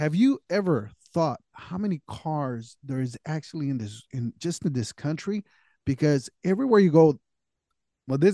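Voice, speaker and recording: A man with an American accent speaks at a fairly high pitch and moderate pace, his tone dark and mellow. His intonation is lively, and the background is quiet. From California. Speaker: podcast co-host. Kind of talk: casual chat.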